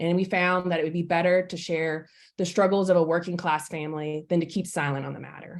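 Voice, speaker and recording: In a Southwest Virginia accent, a woman with a fairly low pitch talks at a very fast pace with fairly even intonation. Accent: regional Southwest Virginia. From Southwest Virginia (Roanoke area). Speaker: political candidate. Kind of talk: campaign speech.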